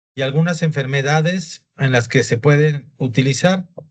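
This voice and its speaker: Somewhat breathy and fairly slow, a man talks at a fairly high pitch with ordinary pitch variation. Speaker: doctor teaching a class. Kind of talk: lecture.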